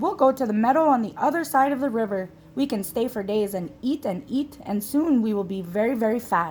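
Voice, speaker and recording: This is a woman doing a put-on character voice. It sits at a fairly high pitch and moves at a fairly quick pace. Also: hardly any pauses. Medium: read story. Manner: chatty, self-assured.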